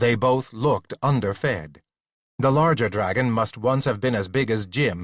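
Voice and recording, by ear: Over a quiet background, someone is reading aloud in a natural voice with ordinary pitch variation.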